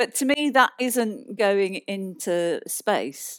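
A woman with a British accent speaks at a medium pitch with lively intonation, in a dry, close recording with no echo, very clean and with a silent background. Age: 60s. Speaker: planetary scientist. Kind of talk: live stage conversation with audience. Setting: stage with audience.

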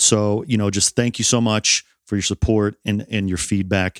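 In a New York accent, a man talks at a moderate pace with monotone, flat intonation in a dry, close recording with no echo. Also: very clean recording, silent background. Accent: American (New York). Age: 40s. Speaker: strongman athlete and podcast host. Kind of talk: casual chat.

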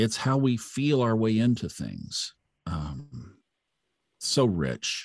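A man with an American accent, a medium pitch, and very wide pitch swings. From Oklahoma, Tulsa. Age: 60s. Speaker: astrology podcaster, former broadcaster. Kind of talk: interview, casual chat.

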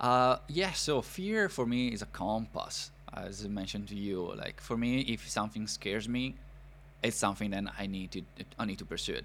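Moderate pace with an Italian accent. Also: man. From northern Italy, near Milan. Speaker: podcast host, immigrant. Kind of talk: interview podcast.

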